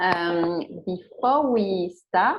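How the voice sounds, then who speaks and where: A woman with a French accent, medium pitch and lively intonation. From France. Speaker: secretary general of an arts mobility network. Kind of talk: online workshop presentation. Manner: halting, many fillers.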